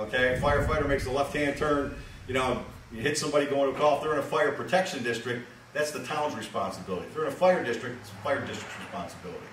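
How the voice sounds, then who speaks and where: With an American accent, a man talks very fast at a fairly high pitch, his pitch varying in an ordinary way and his loudness swinging widely. Light background noise and audible room echo are present. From Western New York; New York State. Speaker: town attorney presenting at a public hearing. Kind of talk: public meeting presentation. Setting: public hearing at a fire company. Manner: halting, many fillers.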